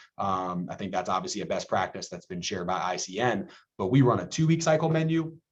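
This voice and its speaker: Speaking at a fairly quick pace, a man uses a normal speaking voice with lively intonation. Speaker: school nutrition director. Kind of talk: webinar presentation. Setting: video call.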